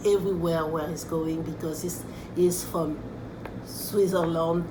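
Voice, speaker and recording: A woman's fairly low, monotone voice with flat intonation over noticeable background noise. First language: French. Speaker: art teacher. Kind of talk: tutorial. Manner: halting. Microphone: camera far.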